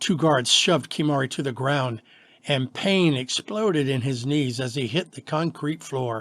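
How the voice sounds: Someone reads in a natural reading voice, the pitch moving in an ordinary way.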